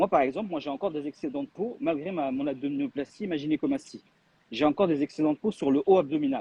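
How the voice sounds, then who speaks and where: With ordinary pitch variation, a man gets through his words at a very fast pace. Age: 40s. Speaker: weight loss testimony guest. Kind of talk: live video chat.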